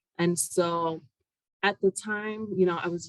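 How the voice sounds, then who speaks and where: In a Spanish accent, a woman speaks with fairly even intonation, the sound dry and close with no echo. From Puerto Rico, then Connecticut from second grade. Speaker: university academic director. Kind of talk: interview.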